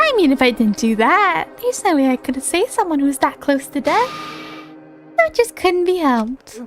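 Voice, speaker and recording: A woman's put-on character voice, high-pitched and fairly quick, with clear music in the background. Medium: virtual streamer. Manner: playful, smug, feigning innocence.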